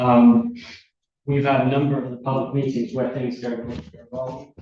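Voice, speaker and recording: The voice is somewhat breathy, with a dark, mellow tone and fairly even intonation at a moderate pace. Audible room echo surrounds it. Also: man, medium pitch for a man. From Britain. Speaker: witness, local official. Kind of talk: witness testimony. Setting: courtroom. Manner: halting.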